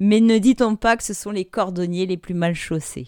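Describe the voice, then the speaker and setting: A woman speaks at a medium pitch and a moderate pace with ordinary pitch variation, in a very clean recording with a silent background and a dry, close sound with no echo. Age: 30s. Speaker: life coach and podcast host. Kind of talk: casual solo podcast monologue.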